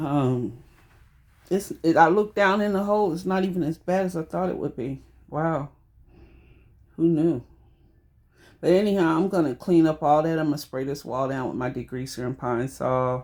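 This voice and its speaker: Speaking at a moderate pace in a Southern US accent, a woman with a very deep, low voice sounds animated, her intonation lively and her speech marked by long, frequent pauses, all on a very clean recording with a silent background. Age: 60s. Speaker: home DIY vlogger. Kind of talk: casual DIY vlog talk to viewers. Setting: at home in bathroom. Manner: chatty, animated.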